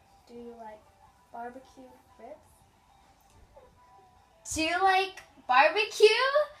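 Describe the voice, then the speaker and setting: Over music in the background, a woman speaks with long, frequent pauses, very wide pitch swings and big swings in loudness. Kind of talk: casual talk to camera.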